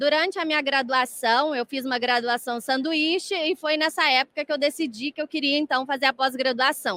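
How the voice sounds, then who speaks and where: A high-pitched woman's voice in a Minas Gerais accent, at a moderate pace with ordinary pitch variation and hardly any pauses. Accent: mineiro Brazilian Portuguese. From Brazil, Minas Gerais (Varginha). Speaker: dentistry lecturer and researcher. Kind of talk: lecture. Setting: congress stage with audience.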